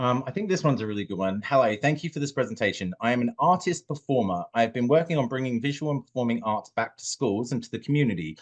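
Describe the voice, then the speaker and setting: Speaking at a very fast pace, a man with a British accent has a medium pitch. His intonation is lively. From UK. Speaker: social media manager. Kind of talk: webinar Q&A.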